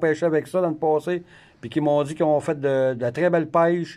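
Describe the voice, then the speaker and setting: Over a quiet background, a man with a Quebec accent speaks at a fairly slow pace in a fairly high pitch, with a dark, mellow tone and fairly even intonation. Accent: Québécois French. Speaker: fishing video host. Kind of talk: casual interview in a tackle shop. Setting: in a fishing store. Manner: hesitant, many filler sounds. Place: shop. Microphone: phone near.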